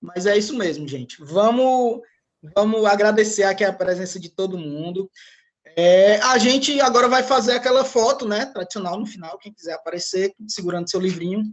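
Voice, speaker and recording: The voice carries a strong Ceará accent with a sing-song lilt. It moves at a moderate pace. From Ceará, Brazil. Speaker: book club moderator. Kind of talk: casual chat. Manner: sing-song intonation.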